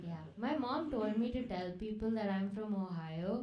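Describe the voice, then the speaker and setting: With audible room echo and noticeable background noise, a woman speaks at a fairly high pitch with ordinary pitch variation. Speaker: comedian. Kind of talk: stand-up. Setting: stage with audience.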